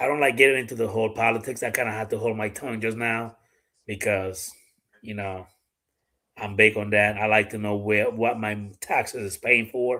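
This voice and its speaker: With a Dominican accent, a man of medium pitch speaks at a moderate pace in a monotone, flat way. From Dominican Republic. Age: 40s. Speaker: gun YouTuber and live streamer. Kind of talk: casual live-stream chat. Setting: live stream with a guest.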